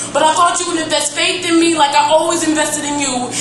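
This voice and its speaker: Noticeable noise sits behind speech delivered very fast. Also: woman. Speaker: slam poet. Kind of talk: spoken word poetry slam performance. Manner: emotional, intense.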